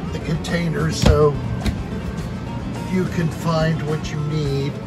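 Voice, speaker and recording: Loud music plays in the background. A man is speaking over it. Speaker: camping vlogger. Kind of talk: casual vlog chat. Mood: playful, joking. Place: home room. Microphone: phone near.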